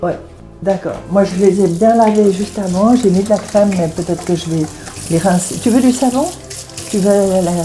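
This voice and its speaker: A woman's voice, medium in pitch with ordinary pitch variation, moves at a moderate pace while music plays behind her. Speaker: retired translator. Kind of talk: casual chat. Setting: at home, cooking.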